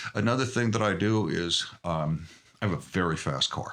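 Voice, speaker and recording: At a fairly slow pace, a man speaks in a bright, sharp tone with vocal fry and very wide pitch swings. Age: 60s. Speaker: podcast guest. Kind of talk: interview.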